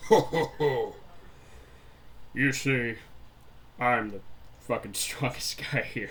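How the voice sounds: Over light background noise, someone uses a put-on character voice at a fairly slow pace. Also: man, medium pitch for a man.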